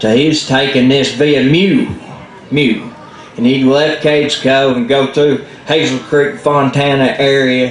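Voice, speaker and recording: A Southern Appalachian accent at a fairly slow pace with fairly even intonation over noticeable background noise. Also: man. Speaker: storyteller. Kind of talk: live folk storytelling to an audience. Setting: live event in a library.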